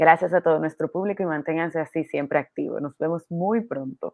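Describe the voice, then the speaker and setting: A woman speaks with a very deep, low pitch and ordinary pitch variation. Her pace is fairly quick. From Dominican Republic. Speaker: podcast co-host. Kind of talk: casual chat.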